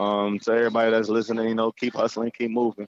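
A man with a medium-pitched voice speaks in a flat monotone, the sound dry and close with no echo. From Jamaica. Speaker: entrepreneur. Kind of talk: interview. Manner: fast.

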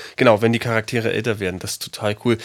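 On a very clean recording with a silent background, a man speaks at a very fast pace in a monotone, flat intonation at a medium pitch. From Berlin. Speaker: podcast co-host. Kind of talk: casual chat.

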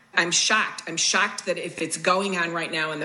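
A woman with an American accent speaks at a fairly low pitch with fairly even intonation, over noticeable background noise and audible room echo. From Chicago. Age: 60s. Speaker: former lifeguard. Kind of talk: testimony.

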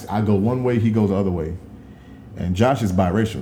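In a room with audible echo, a man with an American accent speaks in a fairly low, somewhat breathy voice with fairly even intonation. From Dallas, Texas. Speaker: podcast co-host. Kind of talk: casual chat.

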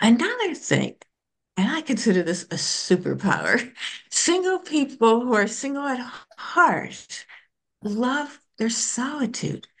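A woman with an American accent sounds somewhat breathy. She talks at a fairly slow pace with very wide pitch swings. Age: 70s. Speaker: psychologist and author. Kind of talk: casual interview chat.

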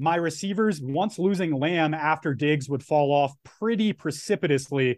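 A man with a fairly high pitch and ordinary pitch variation talks at a moderate pace in an unremarkable speaking voice. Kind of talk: casual chat.

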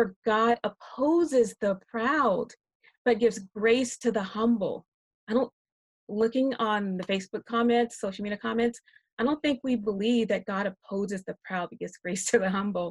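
A woman with an American accent speaks at a moderate pace and a fairly high pitch, somewhat breathy, with ordinary pitch variation. The sound is dry and close with no echo. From South Carolina (Rock Hill). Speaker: biblical counselor and writer. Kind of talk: panel discussion.

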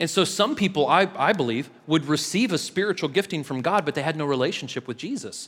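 A man talks at a fairly quick pace in a normal speaking voice, fairly high in pitch with lively intonation. The recording is very clean and the background silent. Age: 30s. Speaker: pastor. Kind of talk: sermon. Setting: church.

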